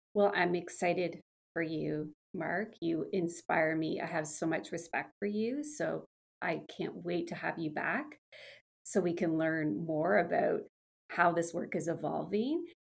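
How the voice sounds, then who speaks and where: Speaking at a fairly slow pace, a woman uses a fairly low pitch with ordinary pitch variation and some vocal fry. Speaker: podcast host. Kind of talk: casual interview chat.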